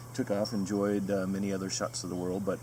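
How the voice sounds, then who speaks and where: Against noticeable background noise and audible room echo, a man with an American accent talks at a fairly low pitch. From US West Coast, Southern California. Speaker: retreat coach. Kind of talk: promotional video. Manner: halting with fillers.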